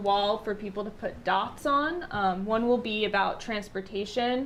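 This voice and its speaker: A woman speaks with a fairly high pitch. The room echo is audible. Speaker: town planning consultant. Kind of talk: public meeting presentation. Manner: loud; hesitant, many fillers.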